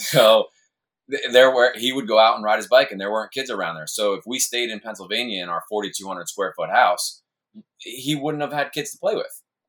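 This man talks at a moderate pace in an American accent. His loudness swings widely. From New York, Hudson Valley. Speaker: full-time RV traveler, military background. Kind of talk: casual chat.

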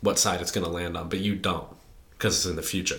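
A man's tone comes across bright and sharp, spoken in an American accent. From US Midwest. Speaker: computer science student. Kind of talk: casual chat.

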